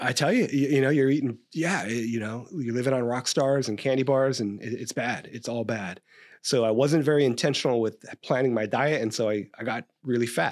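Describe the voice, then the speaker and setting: Very clean recording, silent background, with a man in an ordinary speaking voice at medium pitch. He goes at a fairly quick pace with hardly any pauses and ordinary pitch variation. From California, Stockton. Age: 50s. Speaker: police captain and training expert. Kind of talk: interview about police training. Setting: podcast interview.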